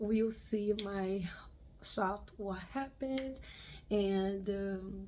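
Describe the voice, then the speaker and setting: A woman with a Brazilian accent speaks very slowly in a dark, mellow tone. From Brazil, Rio de Janeiro. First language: Portuguese. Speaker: craft YouTuber. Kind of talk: personal vlog update. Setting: home video recording with ring light. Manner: halting, many fillers.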